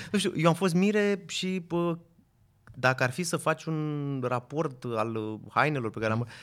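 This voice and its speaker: On a very clean recording with a silent background, a man with a normal speaking voice talks at a fairly slow pace. His fairly high voice carries lively intonation. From Romania, Craiova. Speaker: event photographer. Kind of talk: casual chat.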